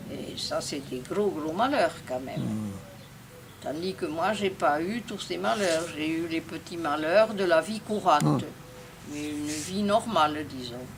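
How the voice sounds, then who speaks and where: Noticeable background noise sits behind a woman with a fairly low pitch. She talks very slowly with lively intonation. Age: 80s+. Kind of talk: interview answer.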